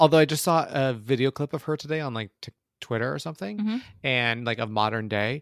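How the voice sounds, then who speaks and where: The recording is very clean, with a silent background and a dry, close sound without echo, as a man talks at a very fast pace with a medium pitch and lively intonation. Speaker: movie review podcast co-host. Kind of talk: casual chat.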